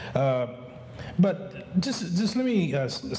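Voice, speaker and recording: Very slow male speech with lively intonation, audible room echo and noticeable background noise. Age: 60s. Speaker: community advocate. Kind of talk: conference speech. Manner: halting, many fillers and repetitions.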